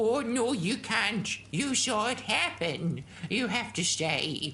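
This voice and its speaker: A woman performs a cartoonish character voice, fairly high and fairly slow, with very wide pitch swings. Her loudness stays very even over clear background noise. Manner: fussy, calls everyone dear.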